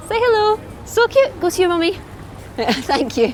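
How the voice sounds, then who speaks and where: A woman with a Scottish accent speaks at a moderate pace over noticeable background noise. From Scotland. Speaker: food reviewer and teacher. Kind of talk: food review vlog. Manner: animated.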